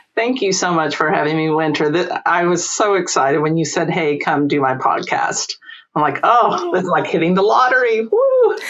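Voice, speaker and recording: Amid noticeable background noise and audible room echo, a woman with a slight Eastern Kentucky accent speaks at a moderate pace and a fairly low pitch, her intonation lively and her loudness very even. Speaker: employment lawyer and entrepreneur. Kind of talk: podcast interview.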